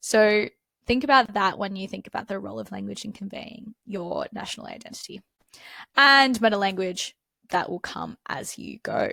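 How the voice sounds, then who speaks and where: An Australian accent comes through as a woman speaks at a moderate pace with big swings in loudness. The sound is dry and close, with no echo. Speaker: exam tutor. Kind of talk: tutorial. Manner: casual, conversational.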